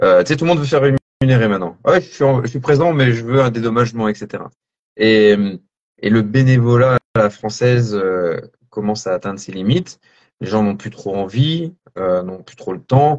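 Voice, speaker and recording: This is a man talking with lively intonation. His pitch sits in the middle range, and his pace is moderate. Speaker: coach and posturology trainer. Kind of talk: casual chat.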